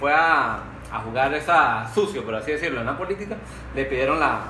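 Lively intonation with audible room echo and noticeable background noise. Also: man. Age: 30s. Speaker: podcast co-host. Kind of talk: casual chat.

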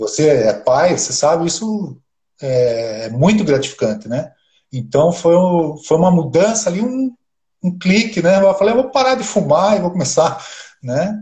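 At a fairly slow pace, a man talks in a high voice, his pitch swinging very widely. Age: 50s. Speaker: amateur triathlete. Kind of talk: casual interview on a live stream.

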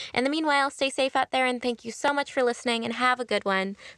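A woman's high-pitched, raised and projected voice with a bright, sharp, upbeat and enthusiastic tone and ordinary pitch variation, in a dry, close sound with no echo on a very clean recording with a silent background. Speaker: podcast host. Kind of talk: casual interview. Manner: upbeat, enthusiastic.

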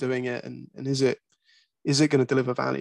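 A southern English accent with fairly even intonation, recorded dry and close with no echo. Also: man. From England (Croydon). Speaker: regional marketing director. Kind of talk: interview.

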